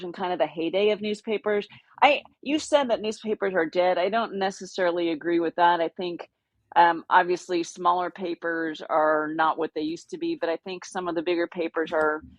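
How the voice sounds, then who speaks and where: A woman with an unremarkable speaking voice, medium pitch, ordinary pitch variation and a fairly quick pace. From Texas, Austin. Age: 60s. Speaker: outdoor adventure writer. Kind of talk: casual interview chat.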